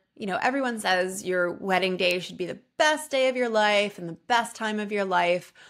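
The woman talks at a moderate pace with ordinary pitch variation, and the background is quiet. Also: hardly any pauses. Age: 30s. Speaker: podcast host and health coach. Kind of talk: solo personal podcast monologue. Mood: reflective, warm. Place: home room. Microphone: studio mic.

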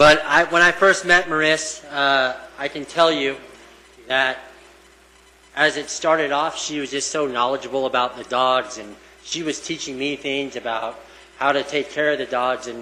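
Over noticeable background noise, a man speaks at a moderate pace with a fairly high pitch, fairly even intonation and big swings in loudness. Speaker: police canine handler. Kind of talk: public remarks at meeting. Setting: town council meeting.

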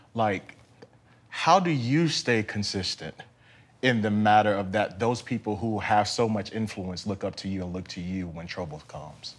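A man with a plain, everyday voice speaks at a moderate pace, his pitch fairly low with ordinary pitch variation. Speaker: talk show host. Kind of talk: interview. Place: studio.

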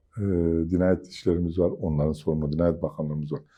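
A man speaks in a very deep, low pitch with fairly even intonation. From southeastern Turkey, Mardin. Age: 50s. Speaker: businessman and chamber of commerce council member. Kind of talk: TV interview.

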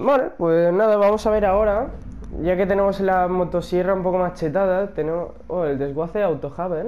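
Fairly quick speech from a man, high in pitch, with ordinary pitch variation. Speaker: gaming youtuber. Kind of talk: gameplay commentary. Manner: animated.

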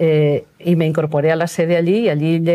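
A woman speaks at a very deep, low pitch in a dark, mellow tone. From Valencia, Spain; Spain. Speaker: retired doctor, NGO volunteer; interviewee. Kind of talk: interview. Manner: halting. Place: studio. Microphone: lapel.

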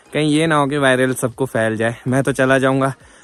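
A man's voice with fairly even intonation, music playing in the background. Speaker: vlogger. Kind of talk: vlog narration. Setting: outdoors in snowy village.

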